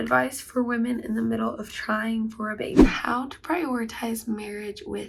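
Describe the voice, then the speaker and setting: A woman's voice over noticeable background noise. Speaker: vlogger. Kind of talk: casual talk to camera.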